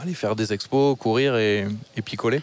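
Noticeable background noise sits under the recording. A man talks in a southwestern French accent. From southwestern France. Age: 30s. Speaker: renewable energy engineer. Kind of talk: casual chat.

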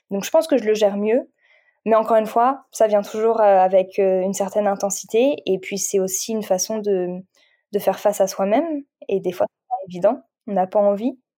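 A woman speaks at medium pitch and a moderate pace with a dark, mellow tone, ordinary pitch variation and big swings in loudness. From France. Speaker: meditation coach and Reiki practitioner. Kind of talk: casual chat. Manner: halting.

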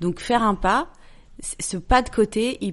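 Ordinary pitch variation from a woman over a quiet background. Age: 40s. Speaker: journalist and entrepreneur. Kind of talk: casual chat.

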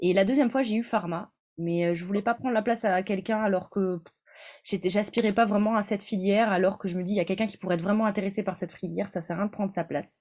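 Against a quiet background, a woman with a medium pitch talks at a very fast pace. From northern France. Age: 20s. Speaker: PhD student in neuroscience. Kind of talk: interview.

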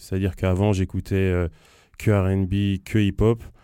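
Dark and mellow in tone, a man's fairly low voice moves at a moderate pace in a very clean recording with a silent background. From Rennes, Brittany, France. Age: 30s. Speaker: hip-hop festival director. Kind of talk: casual interview. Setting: studio.

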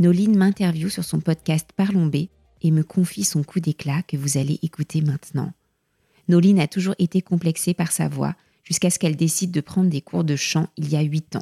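The sound is dry and close, with no echo. A woman with a fairly low, somewhat breathy voice speaks at a moderate pace with fairly even intonation. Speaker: podcast host. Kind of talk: interview intro and conversation.

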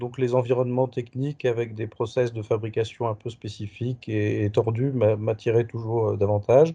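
A medium-pitched man speaks at a moderate pace with hardly any pauses, his intonation monotone and flat. His tone is dark and mellow, and somewhat breathy. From Paris, France. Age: 40s. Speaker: HR professional, burnout survivor. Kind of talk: interview testimony. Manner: hesitant, many fillers.

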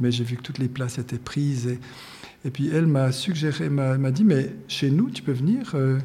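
Fairly high-pitched and somewhat breathy, a man's voice has a dark, mellow tone. He speaks at a fairly slow pace with ordinary pitch variation. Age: 60s. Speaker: painter and art teacher. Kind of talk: interview. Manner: halting.

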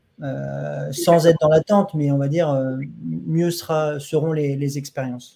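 Here a man speaks at a moderate pace. His pitch sits fairly high, with ordinary variation. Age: young. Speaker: doctor and interviewer. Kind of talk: interview. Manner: halting.

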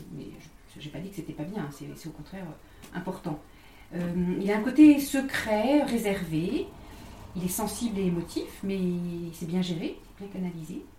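Speaking at a fairly slow pace with lively intonation, this voice swings widely in loudness and leaves long, frequent pauses, with noticeable background noise and audible room echo. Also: woman, medium pitch for a woman. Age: 50s. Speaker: graphologist. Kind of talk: interview. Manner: halting, many repetitions.

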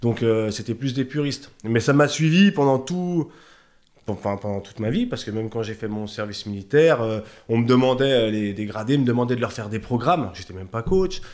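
A man talks at a fairly quick pace with lively intonation. It is a normal speaking voice. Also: medium pitch for a man. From Haute-Savoie, France (Chablais). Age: 40s. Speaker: bodybuilding coach and shop owner. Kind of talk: casual interview chat.

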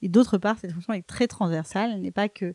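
The speaker is a woman. Her voice comes through dry and close, without any echo. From Paris, France. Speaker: tech startup CEO. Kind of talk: interview. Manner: hesitant, repeats words.

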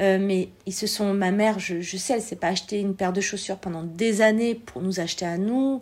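A woman with an ordinary speaking voice at medium pitch talks with fairly even intonation and hardly any pauses. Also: fairly quick pace. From France, born in Algeria, came as a small child. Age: 40s. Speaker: entrepreneur, former shop owner. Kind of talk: interview, personal testimony.

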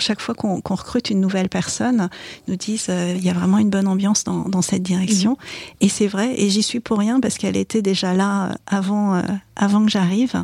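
A woman with a somewhat breathy voice talks at a medium pitch for a woman, her intonation fairly even. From Paris suburbs, France. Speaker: corporate lawyer. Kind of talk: interview.

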